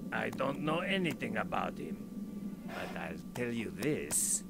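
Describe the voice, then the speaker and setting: A man's put-on character voice amid loud background noise. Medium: video game. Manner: blunt, gruff.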